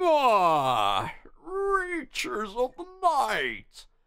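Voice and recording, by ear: A put-on character voice is used here. It sits high in pitch.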